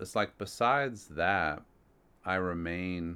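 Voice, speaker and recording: This man has a very deep, low pitch. His tone is bright and sharp. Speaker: professor of ethics. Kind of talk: interview.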